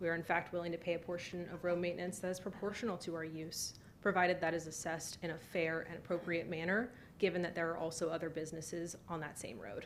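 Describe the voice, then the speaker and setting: A woman's fairly low voice at a very fast pace, with fairly even intonation. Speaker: applicant presenting at zoning hearing. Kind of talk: formal presentation at public hearing.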